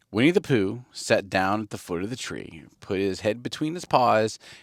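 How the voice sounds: A natural reading voice carries lively intonation.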